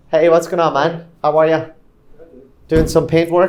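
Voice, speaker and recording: A man speaks with an Irish accent. His pitch is fairly high. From Ireland, Killybegs, County Donegal. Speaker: real estate broker. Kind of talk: casual interview walk-through. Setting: walking through luxury building. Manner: relaxed, hesitant with fillers.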